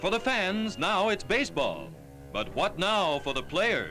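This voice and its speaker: A man speaks in an upbeat tone at a very even loudness. Music plays in the background. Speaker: newsreel narrator. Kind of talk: newsreel narration.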